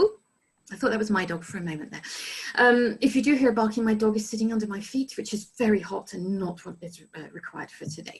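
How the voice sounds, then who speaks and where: Very fast speech with ordinary pitch variation and big swings in loudness. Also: woman, fairly high pitch for a woman. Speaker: study abroad resident director. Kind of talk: informational presentation.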